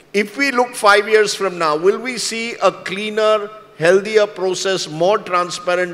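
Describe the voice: This man's voice sits high in pitch with a fairly bright tone, moving at a fairly slow pace.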